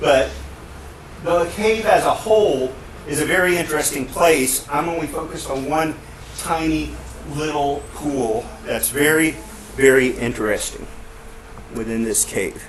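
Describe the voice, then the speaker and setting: A man speaks at a fairly high pitch with long, frequent pauses. The room echo is audible, and background noise is noticeable. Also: ordinary pitch variation, fairly slow pace. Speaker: university professor and caver giving a talk. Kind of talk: conference presentation. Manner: loud; halting, many fillers. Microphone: speaking into a face mask, may be muffled.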